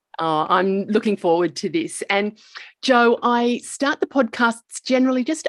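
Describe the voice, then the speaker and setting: Speaking with an Australian accent, a woman uses a fairly high pitch and very wide pitch swings at a fairly slow pace. The sound is dry and close with no echo. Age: 50s. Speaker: podcast host. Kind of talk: casual chat.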